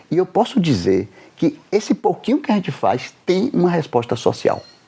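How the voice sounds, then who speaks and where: A man's dark, mellow voice with vocal fry, at a fairly slow pace. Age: 70s. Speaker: doctor and author interviewed. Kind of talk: interview.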